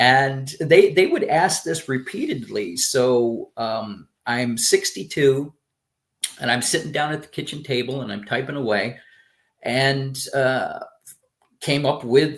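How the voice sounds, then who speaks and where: A fairly high-pitched man at a fairly slow pace, with ordinary pitch variation and big swings in loudness. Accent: American. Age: 60s. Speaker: retired professional turned memoir author. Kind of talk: casual interview. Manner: animated, hesitant with fillers.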